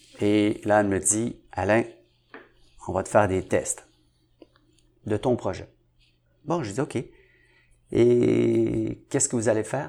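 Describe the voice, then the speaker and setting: Very slowly, a man speaks on a very clean recording with a silent background. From Montreal, Quebec (Saint-Henri). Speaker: entrepreneur. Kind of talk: interview.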